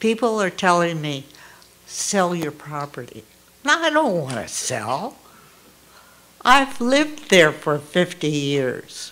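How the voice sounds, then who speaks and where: Long, frequent pauses interrupt speech delivered at a very slow pace. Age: 80s+. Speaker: fire survivor, resident speaking at public session. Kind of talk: public comment testimony.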